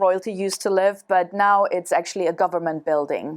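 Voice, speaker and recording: A woman with a German accent at a moderate pace, in a very clean recording with a silent background. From Germany. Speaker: travel show guest. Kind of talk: casual interview. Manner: halting, many fillers.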